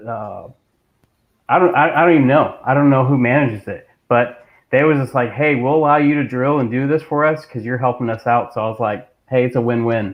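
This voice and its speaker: A man with an ordinary speaking voice talks at a fairly quick pace, with medium pitch and fairly even intonation. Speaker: coast guard reservist and leadership coach. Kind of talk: casual chat.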